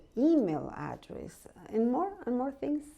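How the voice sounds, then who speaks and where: A woman with a Spanish accent speaks at a fairly slow pace in a dark, mellow tone against a quiet background. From Mexico, Guadalajara. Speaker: real estate agent. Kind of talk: interview.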